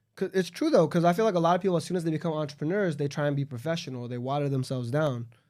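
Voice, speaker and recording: With a Southern California accent, a man speaks at a very fast pace with hardly any pauses, a fairly high pitch and ordinary pitch variation. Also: very clean recording, silent background. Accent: Southern California urban American. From Los Angeles suburb, California. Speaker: entrepreneur. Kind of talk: casual chat.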